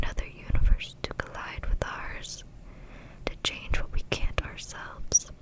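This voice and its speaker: A woman whispers at a fairly slow pace. Noticeable background noise can be heard. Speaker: ASMR creator. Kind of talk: book reading for sleep. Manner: whispered, soft-spoken.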